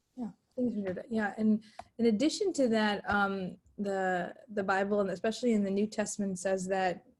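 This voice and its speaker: With fairly even intonation, a woman speaks in a somewhat breathy voice. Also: medium pitch for a woman, moderate pace. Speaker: youth ministry facilitator. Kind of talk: webinar discussion.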